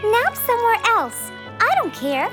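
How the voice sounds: Over clear background music, a cartoonish character voice moves at a fairly slow pace with very wide pitch swings.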